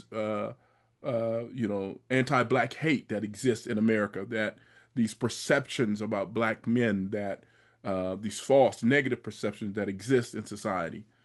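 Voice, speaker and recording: A normal speaking voice goes at a moderate pace with fairly even intonation. The background is quiet. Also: man, fairly low pitch for a man. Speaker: podcast host. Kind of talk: podcast interview question.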